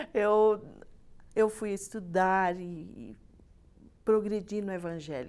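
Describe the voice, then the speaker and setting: At a very slow pace, a woman speaks with long, frequent pauses, big swings in loudness, and ordinary pitch variation. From Rio Grande do Sul, Brazil. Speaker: church member guest. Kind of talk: casual chat.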